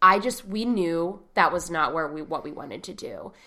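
This woman speaks at a fairly slow pace with a medium pitch and lively intonation. Her tone is bright and sharp. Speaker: podcast host. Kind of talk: casual chat. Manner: giggly, frequent laughter.

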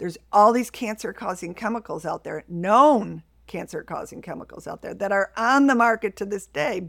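A woman with an American accent uses an ordinary speaking voice at a medium pitch, with ordinary pitch variation. She talks at a moderate pace with hardly any pauses, on a very clean recording with a silent background. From US Northeast, Buffalo, New York. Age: 60s. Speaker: household toxins specialist. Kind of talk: interview.

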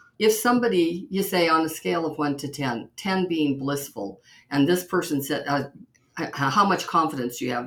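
A woman with a very deep, low voice speaks at a moderate pace with lively intonation. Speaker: podcast host. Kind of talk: interview conversation. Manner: enthusiastic, warm.

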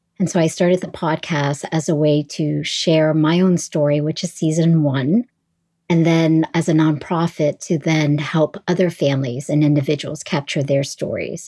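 A woman's very deep, low voice with a dark, mellow tone and an American accent, at a moderate pace with fairly even intonation, on a very clean recording with a silent background. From US East Coast, Northern Virginia. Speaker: podcast host, guest. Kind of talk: casual chat.

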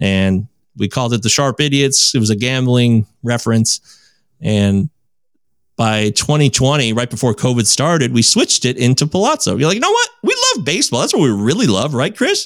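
Recorded very cleanly against a silent background, with a dry, close sound and no echo, a man with an American accent and an ordinary speaking voice talks at a fairly quick pace in a medium pitch, his intonation lively. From Michigan. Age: 40s. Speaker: podcaster and counseling intern. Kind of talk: casual chat.

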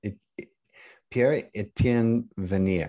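This man has a fairly low pitch and a dark, mellow tone, with ordinary pitch variation. He talks at a very slow pace over a quiet background. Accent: American. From northeastern Pennsylvania, near Allentown. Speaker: actor-producer and podcaster. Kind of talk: casual chat.

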